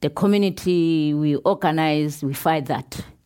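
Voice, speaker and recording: A woman's very deep, low voice at a fairly slow pace, with fairly even intonation. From South Africa, Pondoland. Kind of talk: panel conversation on stage. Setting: stage with audience.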